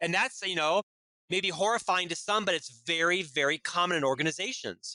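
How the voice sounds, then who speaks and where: Pitched high for a man, a bright, sharp voice moves at a fairly quick pace with ordinary pitch variation and very even loudness, the sound dry and close with no echo. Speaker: business executive and author. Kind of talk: interview. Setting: podcast interview.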